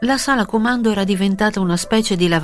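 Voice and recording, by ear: Natural-voiced reading aloud marked by ordinary pitch variation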